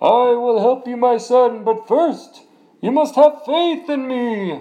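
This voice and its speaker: In a put-on character voice, a man talks at a fairly slow pace with an extremely high pitch and ordinary pitch variation. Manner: majestic, booming.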